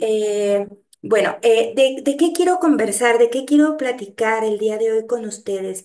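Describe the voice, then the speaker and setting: A woman speaks at a fairly high pitch and a fairly slow pace. Her pitch varies in an ordinary way, with audible room echo. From Mexico, Guadalajara. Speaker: geography professor, researcher. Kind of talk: lecture.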